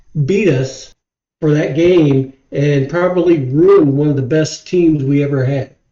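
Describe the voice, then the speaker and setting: Fairly high-pitched and fairly slow, a man talks with a Midwestern US accent. His tone is dark and mellow, and his intonation stays fairly even. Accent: US Midwest. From Ohio. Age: 60s. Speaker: football fan, host's father. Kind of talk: casual chat. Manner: halting.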